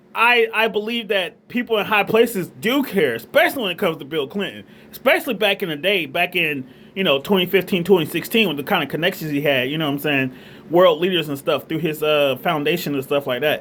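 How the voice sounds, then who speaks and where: With a Southern US accent, a man speaks fairly quickly at a high pitch, his tone animated and his intonation lively. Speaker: vlogger. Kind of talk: casual monologue. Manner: halting.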